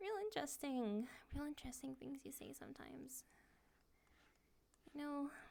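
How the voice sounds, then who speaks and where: The speech runs at a moderate pace with long, frequent pauses. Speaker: ASMR creator. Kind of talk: VRChat ASMR roleplay, soft spoken talk to the listener while drawing. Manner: soft-spoken, hesitant, shy.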